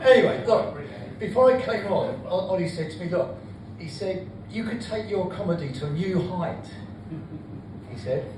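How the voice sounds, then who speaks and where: A man with a high pitch speaks at a moderate pace, using lively intonation and long, frequent pauses. Room echo is audible, and there is noticeable background noise. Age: 70s. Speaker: comedian. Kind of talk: stand-up. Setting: stage with audience.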